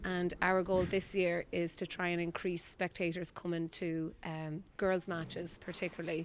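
Speaking at a moderate pace with an Irish accent, a woman with a fairly low voice keeps a monotone, flat intonation on a very clean recording against a silent background. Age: 30s. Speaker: ladies Gaelic footballer. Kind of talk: post-match interview.

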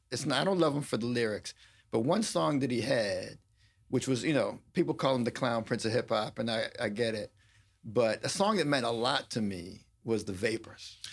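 Lively intonation marks this man's plain, everyday voice, which sits at a medium pitch and moves at a moderate pace. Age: 50s. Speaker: attorney and law professor. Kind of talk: casual interview chat. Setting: studio.

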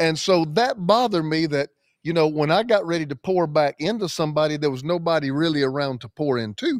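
Animated and energetic, a man talks at a fairly quick pace with a Southern US accent. His pitch is fairly high, and the sound is dry and close with no echo. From US South (South Carolina). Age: 50s. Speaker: pastor. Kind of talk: casual podcast interview. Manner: animated, energetic.

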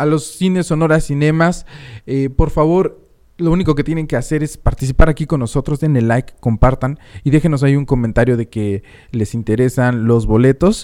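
At a moderate pace, a man with a fairly high pitch and a dark, mellow tone talks with ordinary pitch variation. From Mexico City. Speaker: radio host. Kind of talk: casual radio chat.

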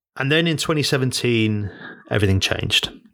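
A medium-pitched man with a British accent and ordinary pitch variation. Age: 30s. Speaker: podcast host, business coach. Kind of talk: solo podcast monologue. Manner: halting, repeats words.

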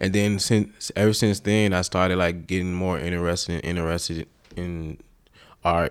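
With an American accent, a man speaks at a very deep, low pitch and fairly even intonation in a very clean recording with a silent background. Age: 30s. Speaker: artist. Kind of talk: interview. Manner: halting.

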